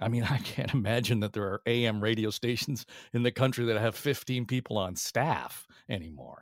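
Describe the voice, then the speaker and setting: A man with vocal fry at a moderate pace, on a very clean recording with a silent background. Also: medium pitch for a man, ordinary pitch variation. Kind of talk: interview.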